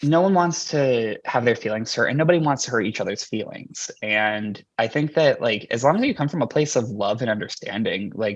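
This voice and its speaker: This is an unremarkable speaking voice with an American accent and lively intonation. The pace is fairly quick, with hardly any pauses. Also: man, medium pitch for a man. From New York City. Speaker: drag queen. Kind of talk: casual chat.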